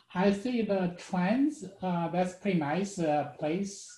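Audible room echo follows a man's voice. He speaks at a very slow pace. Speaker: student. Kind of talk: casual chat. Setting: video call. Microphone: video call.

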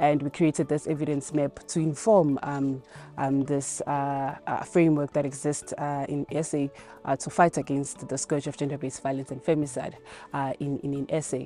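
A woman with a very deep, low pitch speaks in a monotone, flat intonation, the sound dry with no echo and faint music in the background. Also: moderate pace. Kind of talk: interview answer. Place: garden.

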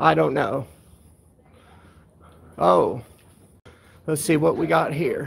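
In a put-on character voice with vocal fry, the speaker goes at a slow pace with ordinary pitch variation. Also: man, fairly high pitch for a man.

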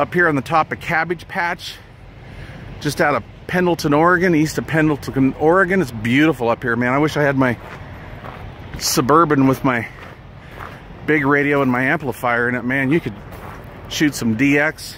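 A man at a moderate pace with ordinary pitch variation and long, frequent pauses, dry sound with no echo, and light background noise. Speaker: CB radio hobbyist. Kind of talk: casual vlog chat. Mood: relaxed, enthusiastic. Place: open country. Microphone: phone near.

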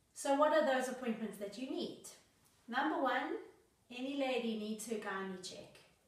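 A woman with a high-pitched voice speaks at a moderate pace, with ordinary pitch variation, big swings in loudness, long and frequent pauses, and audible room echo. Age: 40s. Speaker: lifestyle vlogger. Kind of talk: tutorial. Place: home room.

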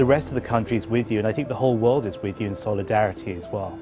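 Over clear music in the background, a man speaks at a fairly low pitch. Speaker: remote guest commentator. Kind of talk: interview answer. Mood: earnest, sympathetic. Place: studio. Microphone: lapel.

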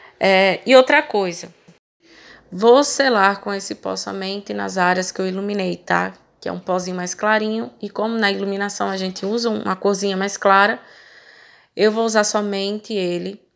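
A woman speaks in a Brazilian accent at a moderate pace, her pitch medium. Her intonation stays fairly even while her loudness swings widely. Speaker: makeup artist. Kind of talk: tutorial. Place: shop.

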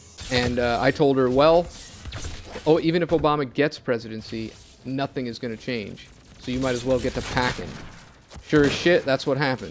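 Speaking in an angry tone with an American accent and ordinary pitch variation, the voice breaks into long, frequent pauses while music plays in the background. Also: man. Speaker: gaming YouTuber. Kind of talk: profane political rant over gameplay. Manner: angry, run-on, expletive-laden tirade; breathless and escalating, laughing bitterly at the absurdity.

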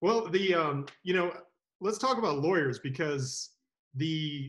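A man speaks at a moderate pace, somewhat breathy. The background is quiet. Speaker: legal services sales associate. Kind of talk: interview. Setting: video call. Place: home room. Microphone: video call.

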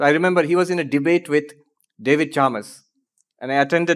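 A man speaks at a moderate pace with fairly even intonation. The background is quiet. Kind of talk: lecture answer to audience question. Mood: light, humorous. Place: hall. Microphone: podium.

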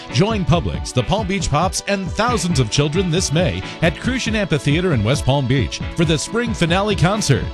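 A man talks with a fairly high pitch, very wide pitch swings and very even loudness, hardly pausing. Music plays in the background. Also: moderate pace. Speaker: voice actor. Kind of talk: TV commercial read. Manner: warm, whimsical storybook style.

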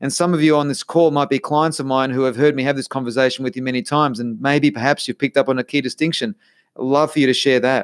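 In a very clean recording with a silent background and a dry, close sound with no echo, a man speaks very fast in an animated tone at a fairly high pitch. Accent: Australian. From Australia, Melbourne. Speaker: podcast host, life coach. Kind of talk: solo podcast monologue.

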